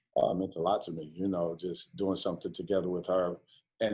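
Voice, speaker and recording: The speaker has an American accent and fairly even intonation. The recording is very clean, with a silent background. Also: man. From New York. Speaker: college basketball coach. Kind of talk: interview. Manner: halting.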